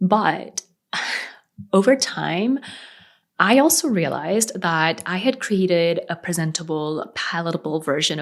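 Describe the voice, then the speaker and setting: In a very clean recording with a silent background, a woman with a plain, everyday voice and an American accent speaks fairly slowly, her fairly low pitch moving with lively intonation. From South Korea, raised partly in Sri Lanka. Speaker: freelance web designer and business coach. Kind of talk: personal story video.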